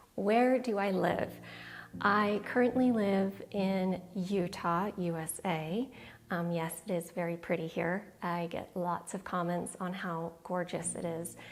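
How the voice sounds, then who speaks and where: Very slowly, a woman with a fairly low pitch speaks with fairly even intonation. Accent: American. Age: 40s. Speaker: minimalism vlogger. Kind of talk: casual Q&A to camera.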